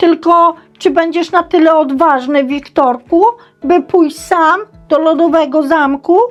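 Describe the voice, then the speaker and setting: A woman's put-on character voice, extremely high-pitched, at a moderate pace with faint music in the background. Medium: read story. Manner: impatient, blunt.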